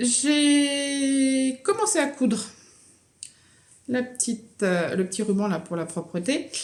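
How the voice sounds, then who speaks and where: A woman's high voice at a very slow pace, with very wide pitch swings and long, frequent pauses. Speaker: knitting vlogger. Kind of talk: casual vlog chat.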